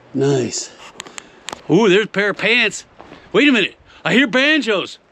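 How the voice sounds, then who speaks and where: Against noticeable background noise, a man with a high pitch uses a raised, projected voice and an animated tone, keeping a very even loudness at a moderate pace while his pitch makes very wide swings. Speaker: gold prospector and geologist. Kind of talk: outdoor exploration vlog. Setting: outdoors.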